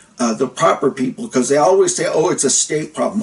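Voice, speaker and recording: Noticeable background noise fills the recording. The man's voice is pitched fairly high. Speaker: vlogger with chronic pain, former worker. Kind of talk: casual vlog monologue.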